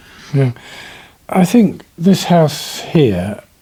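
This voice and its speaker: A man with a British accent speaks in a dark, mellow, somewhat breathy voice, his pitch swinging very widely. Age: 70s. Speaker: self builder and author. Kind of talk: interview. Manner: halting.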